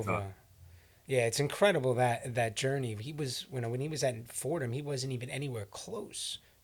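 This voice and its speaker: A man with a medium-pitched, somewhat breathy voice speaks at a fairly quick pace with ordinary pitch variation. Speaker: podcast co-host. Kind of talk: casual podcast conversation.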